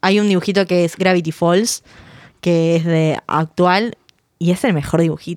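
A woman speaks at a fairly slow pace and medium pitch, in a normal speaking voice. The sound is dry and close, with no echo. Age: 20s. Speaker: podcast host. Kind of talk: casual chat.

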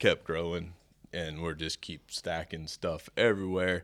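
A man with a West Texas accent talks at a fairly slow pace with a very deep, low pitch, fairly even intonation and a bright, sharp tone. The recording is very clean, with a silent background. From Amarillo, Texas. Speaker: farrier supply business owner. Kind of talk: casual interview. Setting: live at a farrier clinic.

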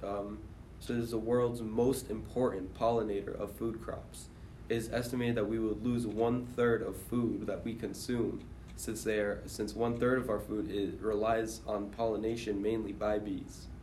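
A man's medium-pitched, somewhat breathy voice with a dark, mellow tone, flat monotone intonation and a moderate pace. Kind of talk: casual group chat.

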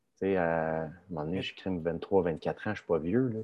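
With a very deep, low pitch, a man speaks in a fairly even intonation. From Quebec, Laurentides (Saint-Eustache area). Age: 30s. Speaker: professional hockey player. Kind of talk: casual interview.

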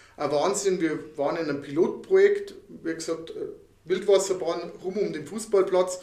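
A man at a moderate pace, with noticeable background noise and audible room echo. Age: 50s. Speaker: podcast co-host. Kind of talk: casual chat.

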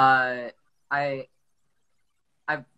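With an American accent, a woman speaks in a very deep, low pitch. Her tone is bright and sharp, and the sound is dry and close with no echo. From US South, Atlanta, Georgia. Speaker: artist. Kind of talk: casual interview chat. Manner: halting, many fillers and repeats.

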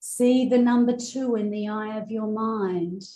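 In a soothing, calm tone, a woman speaks with a dark, mellow, somewhat breathy voice. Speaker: spiritual coach and hypnotherapist. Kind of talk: guided meditation; promotional intro and coaching talk. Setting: outdoors in rice fields, Bali. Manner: slow, soothing, calm and hypnotic; gentle, deliberate pacing with repeated phrases.

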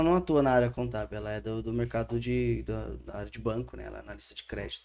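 A man is speaking. His pace is very fast. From Santo André, São Paulo state, Brazil. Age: 30s. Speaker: theology student. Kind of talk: casual interview chat.

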